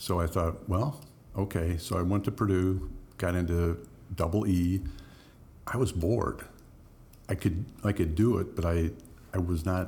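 A man with an American accent speaks at a moderate pace in a very deep, low, somewhat breathy voice with a dark, mellow tone, ordinary pitch variation, very even loudness and long, frequent pauses. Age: 60s. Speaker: mayor. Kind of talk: casual interview.

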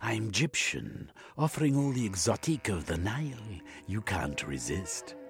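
A man's put-on character voice with vocal fry, fairly low in pitch and fairly bright in tone, with big pitch swings at a moderate pace, faint music in the background

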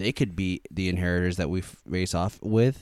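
A man talks at a moderate pace. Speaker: podcast co-host. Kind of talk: casual chat.

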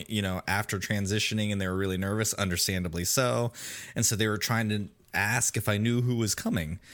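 On a very clean recording with a silent background, a man with an ordinary speaking voice and fairly low pitch talks at a fairly quick pace, with fairly even intonation and very even loudness. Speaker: podcast host guest. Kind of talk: casual interview chat.

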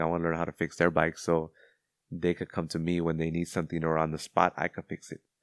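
The speech is very fast and monotone, with flat intonation and a dry, close sound with no echo against a quiet background. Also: man. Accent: American. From Los Angeles, California (Cudahy). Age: 30s. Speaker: Marine veteran. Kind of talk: casual interview.

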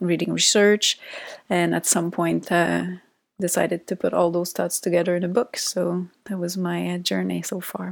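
A woman with a Quebec accent at a moderate pace, on a very clean recording with a silent background. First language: French. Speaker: psychologist. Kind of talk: interview conversation.

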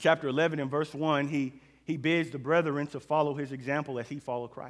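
A plain, everyday voice from a man with an American accent, fairly high in pitch and fairly quick in pace. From Oklahoma City, US. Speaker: preacher. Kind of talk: sermon.

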